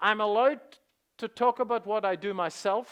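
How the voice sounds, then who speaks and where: The voice, in a Northern Irish accent, has fairly even intonation and a dry, close sound with no echo. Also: man, quiet background. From Northern Ireland. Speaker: stock market educator. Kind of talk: seminar presentation. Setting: stage with audience. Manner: hesitant with many fillers.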